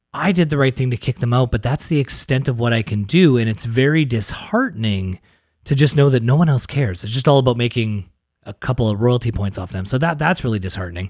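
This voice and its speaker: A man speaks at a very fast pace with a medium pitch. His voice is somewhat breathy. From Canada, Winnipeg. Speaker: mortgage brokerage executive. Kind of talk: interview. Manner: animated.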